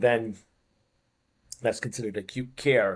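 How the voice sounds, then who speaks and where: A man with a Boston accent and monotone, flat intonation, on a very clean recording with a silent background. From US Northeast, Boston. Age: 50s. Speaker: fitness coach. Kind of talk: podcast interview. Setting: studio.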